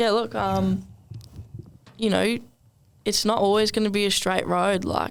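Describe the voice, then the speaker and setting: A woman in an Australian accent at a fairly slow pace, with long, frequent pauses and very even loudness. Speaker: professional rugby league winger. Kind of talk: casual podcast interview.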